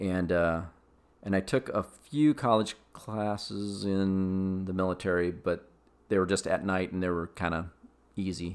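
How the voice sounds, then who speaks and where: Over a silent background in a very clean recording, a man with an American accent talks at a fairly slow pace in a very deep, low pitch with fairly even intonation. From US Midwest (Des Moines, Iowa). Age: 50s. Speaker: father of the host. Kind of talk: casual chat.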